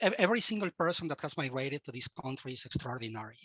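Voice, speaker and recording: A man talks at a fairly quick pace with a Latin American accent and lively intonation. His tone is bright and sharp, and the sound is dry and close with no echo. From Mexico. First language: Spanish. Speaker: cybersecurity leader and university instructor. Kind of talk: interview.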